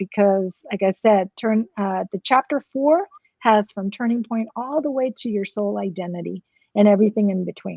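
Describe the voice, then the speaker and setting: At a moderate pace, a woman speaks in a fairly high voice with a Spanish accent and ordinary pitch variation. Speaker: author. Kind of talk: interview.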